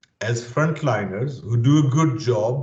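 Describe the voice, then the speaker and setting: A somewhat breathy man with ordinary pitch variation, in audible room echo. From Pakistan. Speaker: security training leader. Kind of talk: interview.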